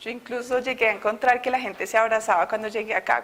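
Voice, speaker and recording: A woman with a Bogotá accent at a fairly high pitch, with ordinary pitch variation and a fairly quick pace. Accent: Bogotá accent, still kept. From Colombia, Bogotá. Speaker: innovation consultant giving a faith testimony. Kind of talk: testimony.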